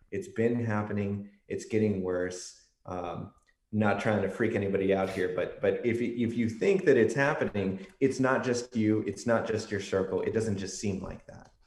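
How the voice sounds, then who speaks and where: A man with an American accent and a normal speaking voice, fairly low in pitch, fairly even in intonation, at a moderate pace. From Texas, San Antonio. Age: 20s. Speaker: political science researcher. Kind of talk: podcast interview.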